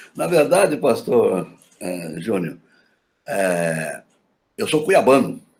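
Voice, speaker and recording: The man's speech is very slow, broken up by long pauses that come often. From Mato Grosso do Sul, Brazil (Campo Grande, Aquidauana). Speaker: pastor. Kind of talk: interview testimony.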